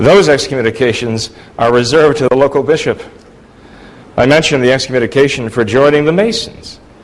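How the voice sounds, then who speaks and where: A man races along at a very fast pace while his pitch varies in an ordinary way. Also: medium pitch for a man, very even loudness. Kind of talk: formal debate.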